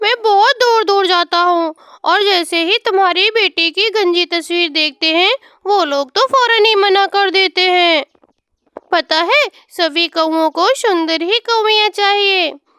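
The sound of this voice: This woman's cartoonish character voice is pitched extremely high and moves at a moderate pace.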